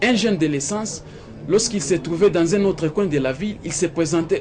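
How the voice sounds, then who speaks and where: Noticeable background noise sits behind a man talking at a fairly quick pace with ordinary pitch variation. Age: 20s. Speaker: youth community organization leader. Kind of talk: interview. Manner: hesitant, many fillers.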